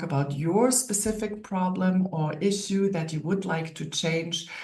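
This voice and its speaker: At a fairly slow pace, a woman with a German accent speaks amid noticeable background noise and audible room echo. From Germany. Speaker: naturopath and wellness coach. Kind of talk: online workshop lecture.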